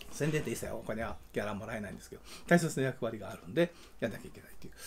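A man speaks with vocal fry and a dark, mellow tone. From Kansai, Japan. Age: 60s. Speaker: film director and YouTube channel host. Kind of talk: casual solo talk, update video. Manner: rambling, conversational. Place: home room. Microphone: phone near.

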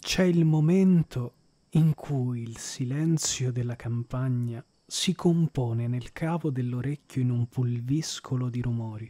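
This man's speech is very slow. He has a dark, mellow tone. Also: medium pitch for a man, ordinary pitch variation, dry, close sound with no echo. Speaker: audiobook narrator. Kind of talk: literary audiobook reading, narrated in the first person. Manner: slow, measured and expressive, with a lyrical, contemplative tone; smooth and evocative, with pauses at the descriptive passages.

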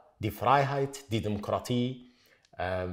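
Against a quiet background, a man with an Arabic accent speaks with ordinary pitch variation. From Iraq. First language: Arabic (speaking German). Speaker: writer; interviewee. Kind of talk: interview statements. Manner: halting, repeating words. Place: hall.

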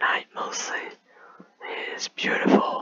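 Whispering at a very slow pace. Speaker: gamer. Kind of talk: whispered gameplay commentary. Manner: whispered. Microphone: studio mic.

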